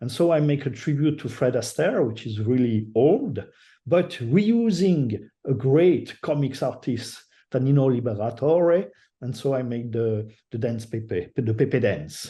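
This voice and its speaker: Against a quiet background, a man with a French accent talks fairly slowly in a dark, mellow, somewhat breathy voice of medium pitch, his intonation lively. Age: old. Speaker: digital artist. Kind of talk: interview. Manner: halting.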